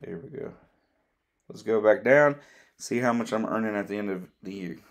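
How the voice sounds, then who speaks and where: With an unremarkable speaking voice, this man talks at a medium pitch and moderate speed, his pitch varying in an ordinary way while his loudness swings widely. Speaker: crypto YouTuber. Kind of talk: casual explainer video.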